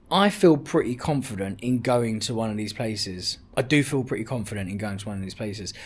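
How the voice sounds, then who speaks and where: On a very clean recording with a silent background, a man with a London accent speaks very fast at medium pitch, somewhat breathy, with lively intonation. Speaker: travel vlogger. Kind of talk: casual vlog talk to camera. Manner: repetitive, chatty.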